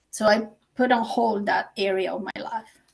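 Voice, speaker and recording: A woman speaks with a Colombian accent and a fairly high pitch. Vocal fry runs through her voice. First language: Spanish. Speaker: author and teacher. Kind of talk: interview.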